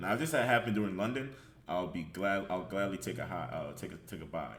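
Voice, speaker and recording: A man speaks fairly quickly at a fairly low pitch, with vocal fry. His intonation is lively. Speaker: trader. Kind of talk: trading chart breakdown.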